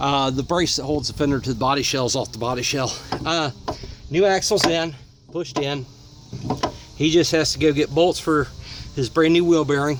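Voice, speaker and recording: A man's fairly high voice holds fairly even intonation, broken by long, frequent pauses. Noticeable background noise runs underneath. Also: moderate pace. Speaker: auto repair video maker. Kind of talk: casual show-and-tell tutorial. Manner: loud.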